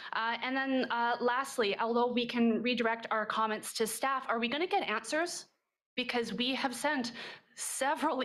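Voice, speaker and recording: In a room with audible echo, a woman with a high pitch speaks at a moderate pace. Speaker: accountant, resident speaking at council. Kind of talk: public comment at council meeting. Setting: council chamber. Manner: loud.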